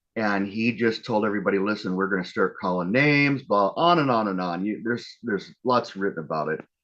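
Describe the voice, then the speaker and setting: A man with a normal speaking voice talks at a fairly low pitch with ordinary pitch variation. He goes at a fairly quick pace with hardly any pauses against a quiet background. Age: 60s. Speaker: activist. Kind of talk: speech. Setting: live online gathering.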